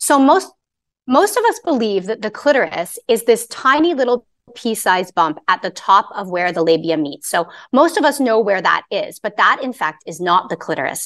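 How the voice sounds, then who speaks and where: Speaking at a moderate pace with a Canadian accent, the voice makes very wide pitch swings. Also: woman, fairly high pitch for a woman. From Canada. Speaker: sex therapist. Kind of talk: interview.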